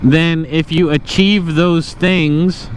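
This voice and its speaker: Noticeable background noise fills this clip. A man with a fairly high voice speaks at a very slow pace. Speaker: motovlogger. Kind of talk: casual monologue while riding. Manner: quieter than usual.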